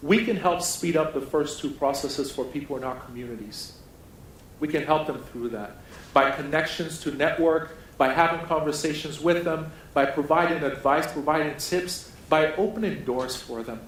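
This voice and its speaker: Fairly high-pitched male voice with audible room echo. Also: ordinary pitch variation, moderate pace. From Nigeria. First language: a Nigerian language. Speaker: keynote speaker. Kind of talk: keynote speech. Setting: conference stage with audience.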